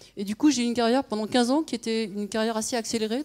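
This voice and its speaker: On a very clean recording with a silent background, a woman speaks very fast. Her voice is fairly high, with ordinary pitch variation. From France. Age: 50s. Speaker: conference speaker, former consultant and nonprofit founder. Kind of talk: conference talk.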